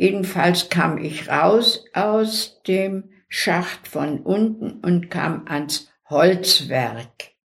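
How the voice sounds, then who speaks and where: Her pace is very slow, yet this woman takes hardly any pauses. Her fairly low voice is somewhat breathy, with lively intonation. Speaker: deportation survivor. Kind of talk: oral history interview.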